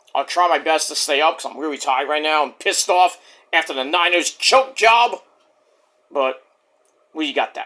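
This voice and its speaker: A man with a fairly high pitch, bright, sharp tone, and lively intonation, at a moderate pace with long, frequent pauses. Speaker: wrestling podcaster. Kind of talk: casual vlog monologue. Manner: keeping voice down.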